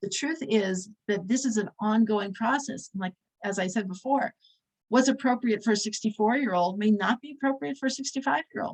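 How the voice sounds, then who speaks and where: A woman speaks at a moderate pace with a fairly high pitch, ordinary pitch variation and long, frequent pauses. Her voice is somewhat breathy, and the sound is dry and close with no echo. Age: 60s. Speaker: religious teacher. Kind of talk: lecture.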